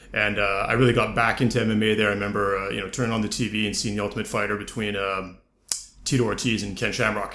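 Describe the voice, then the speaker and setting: A man with a Canadian accent speaks at a very fast pace and a fairly low pitch. His intonation is monotone and flat, with audible room echo around it. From Canada, with ten teen years in France. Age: 30s. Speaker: podcast host. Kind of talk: casual interview chat.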